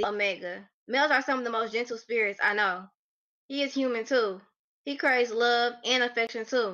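A woman with an unremarkable speaking voice talks at a fairly quick pace, her pitch fairly high and her intonation fairly even. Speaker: poet. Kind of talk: poetry reading. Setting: video call.

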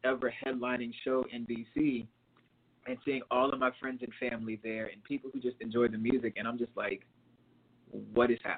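In an unremarkable speaking voice, a man talks at a medium pitch and moderate pace with fairly even intonation. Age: 30s. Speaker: R&B singer. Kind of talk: casual interview.

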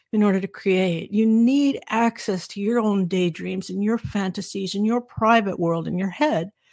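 Ordinary pitch variation marks this speaker with an American accent, in a very clean recording with a silent background and a dry, close sound with no echo. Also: woman. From Southern California. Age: 60s. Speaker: author and former recording engineer. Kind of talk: interview conversation.

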